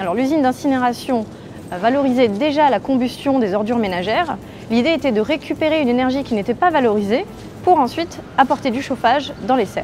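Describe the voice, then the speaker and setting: Music plays behind a woman who speaks at a fairly quick pace with a high pitch and lively intonation. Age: 20s. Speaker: project engineer. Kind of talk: corporate testimonial interview.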